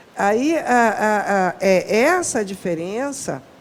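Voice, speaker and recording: Noticeable background noise runs under this recording. A woman speaks at a fairly high pitch with very wide pitch swings. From northern Brazil, Pará. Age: 60s. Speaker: Afro-Brazilian religious cook and researcher. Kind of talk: podcast interview.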